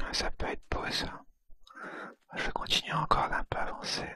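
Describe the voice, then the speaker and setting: Whispering in a relaxed tone, the speaker goes at a very slow pace. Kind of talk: ASMR gameplay commentary, whispered. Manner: whispered, soft, relaxed.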